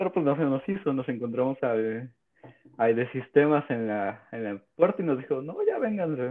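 Delivered in a normal speaking voice, the speech has ordinary pitch variation and a moderate pace. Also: man. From Mexico, Oaxaca. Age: 20s. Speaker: podcast co-host, programmer. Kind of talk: casual chat.

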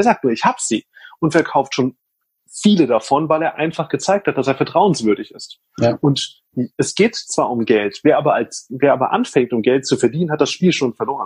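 A man speaks at a fairly high pitch, somewhat breathy, with very wide pitch swings. The sound is dry and close with no echo, over a quiet background. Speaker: social media consultant. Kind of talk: casual interview chat. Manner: fast, talkative.

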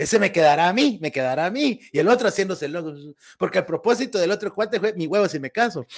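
Speaking very fast, a man uses a high voice with lively intonation. He talks with a Guatemalan accent. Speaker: comedy podcast host. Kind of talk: casual chat.

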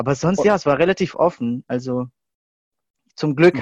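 The sound here is dry and close, with no echo. The voice belongs to a man. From Germany, Stuttgart. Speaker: youth leader and film student. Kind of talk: interview. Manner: hesitant, many fillers.

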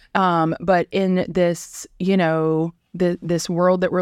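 A woman with an American accent, fairly low in pitch, in monotone, flat intonation, on a very clean recording with a silent background. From US South, South Georgia. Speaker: corporate communications manager. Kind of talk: casual interview.

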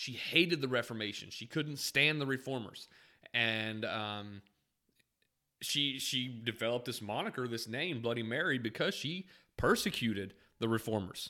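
At a moderate pace, a man with a medium-pitched, bright and sharp voice talks with ordinary pitch variation on a very clean recording with a silent background. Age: 30s. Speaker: podcast host teaching Bible history. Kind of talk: lecture-style teaching podcast. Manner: casual, with frequent fillers and repetitions.

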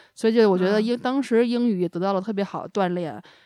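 A woman speaks in a normal speaking voice, fairly high-pitched, with ordinary pitch variation against a quiet background. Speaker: podcast host. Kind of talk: casual chat.

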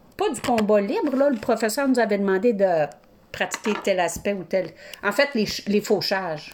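Lively intonation from a woman at medium pitch and a moderate pace, against noticeable background noise. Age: 50s. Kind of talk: casual chat.

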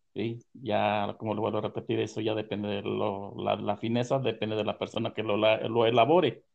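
A man speaks at a moderate pace with fairly even intonation. His pitch sits fairly low. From Puebla, Mexico (Tehuacán area). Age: 60s. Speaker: farmer, maguey grower. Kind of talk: storytelling interview. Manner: halting.

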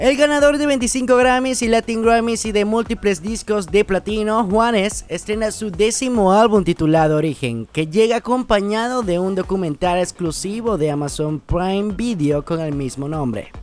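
This man has a high voice, speaking at a moderate pace with lively intonation and hardly any pauses. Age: 20s. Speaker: radio host. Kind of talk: radio show hosting.

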